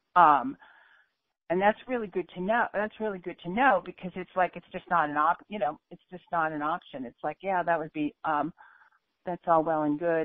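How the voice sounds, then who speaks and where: The loudness swings widely while the pitch varies in an ordinary way. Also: woman, fairly low pitch for a woman, moderate pace. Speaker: caller. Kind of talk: casual chat. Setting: phone on speaker. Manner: halting, hesitant.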